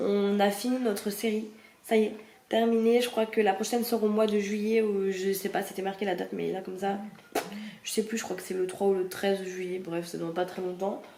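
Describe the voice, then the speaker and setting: A woman speaks at a fairly quick pace in a medium pitch and a flat, monotone delivery, with noticeable background noise and audible echo in the room. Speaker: vlogger. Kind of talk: casual vlog.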